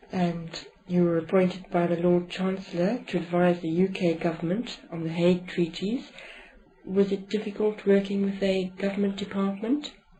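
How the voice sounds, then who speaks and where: Over noticeable background noise, a woman speaks at a medium pitch and a moderate pace with fairly even intonation. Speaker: interviewer. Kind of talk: interview questions.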